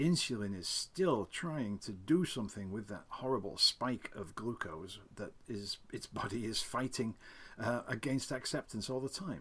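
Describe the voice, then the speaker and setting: Here is a man with an unremarkable speaking voice at medium pitch. He talks at a fairly slow pace with lively intonation. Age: 60s. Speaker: type 2 diabetes reversal advocate. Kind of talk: casual talk to camera.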